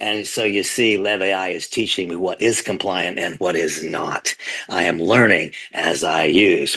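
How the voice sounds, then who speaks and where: Very deep, low male voice at a fairly slow pace, over noticeable background noise. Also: fairly even intonation. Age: 60s. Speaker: company leader giving testimonial. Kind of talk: testimony.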